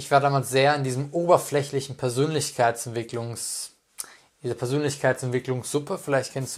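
At a moderate pace, a man of medium pitch speaks with fairly even intonation in an ordinary speaking voice. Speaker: life coach and speaker. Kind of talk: personal monologue.

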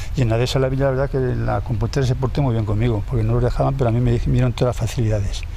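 A man talking at a very fast clip with hardly any pauses, very even loudness, audible room echo and noticeable background noise. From Spain, Segovia province. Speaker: retired urban gardener. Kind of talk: casual interview.

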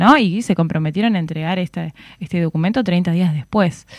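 A woman's plain, everyday voice, fairly low in pitch, at a moderate pace with ordinary pitch variation. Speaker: political analyst and university lecturer. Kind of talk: radio interview.

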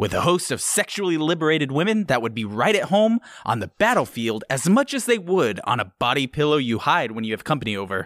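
A man's fairly high voice with very wide pitch swings, a fairly quick pace and hardly any pauses, in a very clean recording over a silent background. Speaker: video game podcast host. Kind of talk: casual comedic chat.

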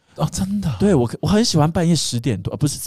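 On a very clean recording with a silent background, a man speaks very fast in a somewhat breathy, dark, mellow tone, his pitch swinging very widely. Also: dry, close sound with no echo. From Taiwan. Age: 30s. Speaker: podcast guest. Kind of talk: casual chat.

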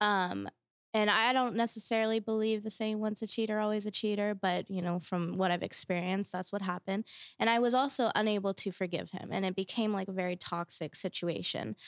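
A woman's plain, everyday voice at a medium pitch, fairly quick in pace and fairly even in intonation, with a dry, close sound with no echo. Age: 20s. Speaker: college student guest. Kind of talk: casual interview chat.

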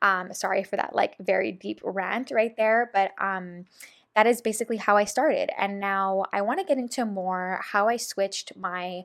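Medium-pitched woman with a Montreal accent at a moderate pace, very clean recording and silent background. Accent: Montreal English (Canadian). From Montreal, Quebec, Canada. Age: 20s. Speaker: podcast host, holistic health and nutrition coach. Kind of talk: casual solo monologue. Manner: animated.

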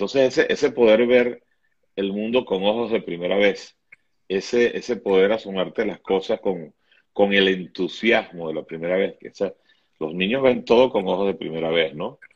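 There is a plain, everyday voice from a man with a fairly low pitch. He keeps a moderate pace with ordinary pitch variation. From Venezuela. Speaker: writer and TV screenwriter. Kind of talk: interview.

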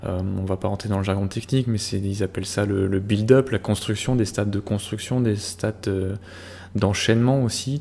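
A man with an ordinary speaking voice, fairly low pitch, fairly even intonation and a moderate pace. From France, Normandy. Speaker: podcast host, hockey statistics analyst. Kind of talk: casual chat.

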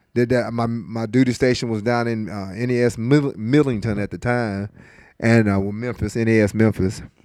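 A man talks in a Tennessee accent. The recording is very clean, with a silent background. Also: medium pitch for a man, fairly even intonation, moderate pace. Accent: US Southern (Tennessee). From West Tennessee, Lexington. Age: 50s. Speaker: fire department district chief and Navy veteran. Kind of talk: casual interview.

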